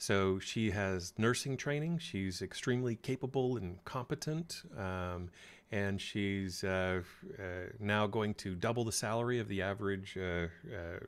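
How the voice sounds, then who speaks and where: Recorded very cleanly against a silent background, a man with an American accent speaks fairly slowly in a fairly low voice with ordinary pitch variation. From United States. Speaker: career coach. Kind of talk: live stream talk. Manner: hesitant with many fillers.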